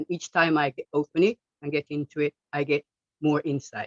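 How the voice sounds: A woman speaks at a fairly quick pace with a low pitch and fairly even intonation. The sound is dry and close, with no echo.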